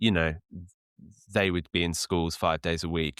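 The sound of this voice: Recorded very cleanly against a silent background, with a dry, close sound and no echo, a man speaks at a moderate pace in an extremely low pitch with little pitch movement and a clear, smooth, fairly bright tone.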